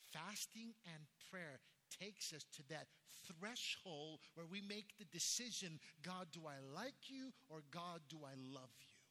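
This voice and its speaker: A man with an American accent speaks fairly slowly in a high, bright, sharp voice with lively intonation. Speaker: pastor. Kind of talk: sermon. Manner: fervent, emphatic preacher's cadence, repeating key phrases for emphasis; animated storytelling, with shocked, incredulous tone when recounting the news.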